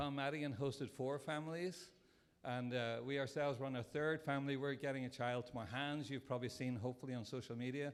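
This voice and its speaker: A man with a non-native accent and a fairly high pitch speaks very fast, keeping his intonation fairly even and his loudness very even. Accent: foreign accent, noticeable. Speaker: Rotary club member. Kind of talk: speech at a breakfast event.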